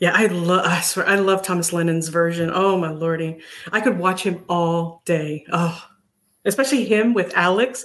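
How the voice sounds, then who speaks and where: This woman has a normal speaking voice, fairly low in pitch, with ordinary pitch variation and a moderate pace. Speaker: viewer guest.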